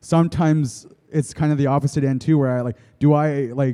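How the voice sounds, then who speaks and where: In a dark, mellow tone, a man speaks at medium pitch with ordinary pitch variation. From Blackfoot community, Siksika, Alberta, Canada. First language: Blackfoot. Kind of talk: panel discussion. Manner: halting with repetitions.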